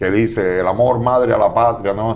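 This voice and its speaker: A man's fairly slow delivery. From Cuba, Marianao (Havana). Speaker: political analyst. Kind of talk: TV interview. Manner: hesitant, with fillers.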